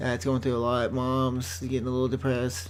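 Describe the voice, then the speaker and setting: Audible room echo and noticeable background noise surround this man's voice. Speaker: gaming video creator. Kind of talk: let's play commentary. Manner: fast.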